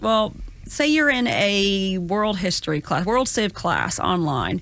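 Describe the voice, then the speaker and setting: A woman with a Southern US accent speaks at a medium pitch and a very slow pace, her loudness very even while her pitch swings very widely. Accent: Southern twang. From US South, Georgia (Gwinnett). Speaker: college administrator. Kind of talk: podcast interview. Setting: studio.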